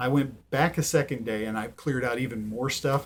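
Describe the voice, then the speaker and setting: This is a man's voice. It sounds somewhat breathy. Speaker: thrift reseller vlogger. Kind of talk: casual haul video monologue. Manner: halting, many ums.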